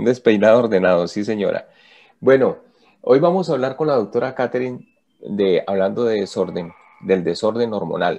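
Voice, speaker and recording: A dark, mellow tone moves at a moderate pace with lively intonation. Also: man, medium pitch for a man. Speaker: radio announcer. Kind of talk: radio talk show host.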